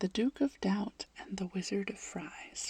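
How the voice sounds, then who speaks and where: A soft-spoken woman whispering with vocal fry at a fairly slow pace. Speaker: ASMR creator. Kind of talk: fact reading, gentle narration with chatty asides. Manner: soft-spoken, transitioning toward a whisper.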